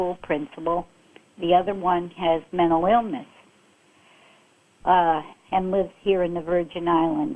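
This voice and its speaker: This woman's voice sits fairly low in pitch and shows ordinary pitch variation. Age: 60s. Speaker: caller. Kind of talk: call-in comment. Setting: phone call. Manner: hesitant, many fillers.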